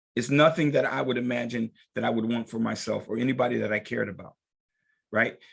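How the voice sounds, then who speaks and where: Talking at a very fast pace in an animated tone, a man with medium pitch and vocal fry shows ordinary pitch variation. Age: 60s. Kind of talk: group discussion.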